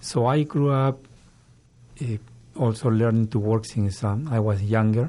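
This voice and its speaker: A man with a Peruvian accent, medium pitch and a dark, mellow tone, at a fairly slow pace with fairly even intonation. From Peru, Lima. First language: Spanish. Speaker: government agency director. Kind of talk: interview. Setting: radio studio.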